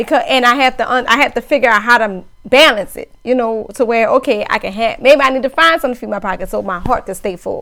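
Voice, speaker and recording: Her bright, sharp voice is high in pitch with ordinary pitch variation. The woman talks at a very fast pace with hardly any pauses. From Louisiana. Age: 30s. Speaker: podcast co-host, DJ. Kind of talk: casual chat.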